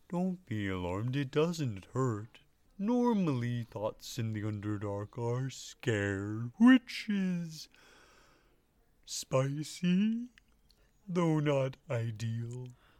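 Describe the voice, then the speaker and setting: A put-on character voice sits at a low-to-middle pitch and moves at a very slow pace. The recording is very clean, with a silent background. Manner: soft, sad, odd phrasing.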